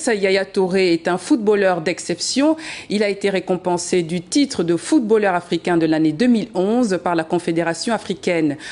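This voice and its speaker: Moderate pace, medium pitch and ordinary pitch variation from a woman with an ordinary speaking voice. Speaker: TV news presenter. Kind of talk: TV news headlines read.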